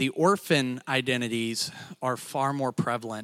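At a moderate pace, a man talks in a medium pitch. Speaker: lay church speaker. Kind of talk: sermon. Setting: church stage with audience. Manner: animated.

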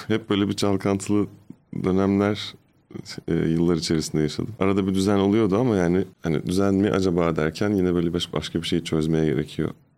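A man speaks at a fairly quick pace in a very deep, low voice with a dark, mellow tone. His loudness stays very even against a quiet background. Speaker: comedian and podcast host. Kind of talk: casual chat. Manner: animated.

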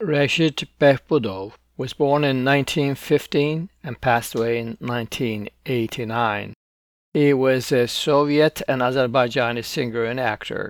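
A man with a medium pitch speaks at a very slow pace, using ordinary pitch variation. The recording is very clean, with a silent background. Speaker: radio host. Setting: radio studio broadcast.

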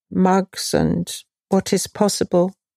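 Speaking very slowly with a London accent, a woman has a medium-pitched voice and a dark, mellow tone, captured in a very clean, dry, close recording with no echo and a silent background. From London, England. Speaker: potter and craft market founder. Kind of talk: interview.

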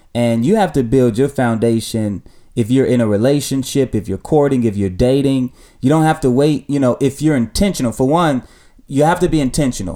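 A man with a dark, mellow tone and medium pitch speaks at a fairly quick pace, with ordinary pitch variation and very even loudness, in a very clean recording against a silent background. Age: 30s. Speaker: pastor and podcast host. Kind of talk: casual chat; sermon.

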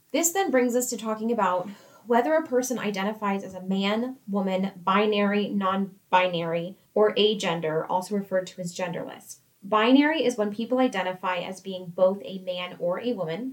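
A woman with an American accent uses an ordinary speaking voice at medium pitch, with ordinary pitch variation and a moderate pace. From United States. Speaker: workplace podcast co-host, employee engagement coordinator. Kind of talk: scripted educational podcast.

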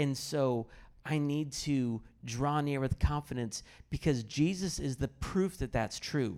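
A man speaks in a plain, everyday voice with an American accent, fairly high in pitch with ordinary pitch variation. His pace is fairly slow, and the recording is very clean with a silent background. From US Midwest, Kansas City area. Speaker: pastor and biblical counselor. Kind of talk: personal testimony and teaching on stage.

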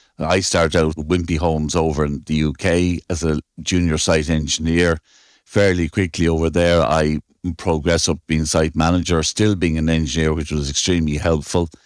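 On a very clean recording with a silent background, a man with an Irish Midlands accent speaks at a moderate pace in a very deep, low, monotone voice with flat intonation. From Ireland. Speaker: civil engineer, firm owner. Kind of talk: interview.

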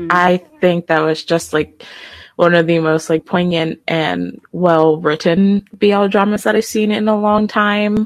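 A woman talks at a fairly slow pace and fairly low pitch, with fairly even intonation and an ordinary speaking voice. The sound is dry and close, with no echo. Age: 20s. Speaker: fan podcaster. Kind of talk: casual chat.

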